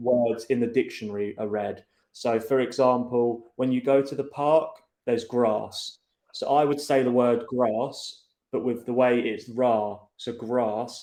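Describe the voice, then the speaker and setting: At a fairly slow pace, a man speaks at medium pitch in a dark, mellow tone. His intonation is monotone and flat. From southern England. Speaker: English conversation partner. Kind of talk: casual chat.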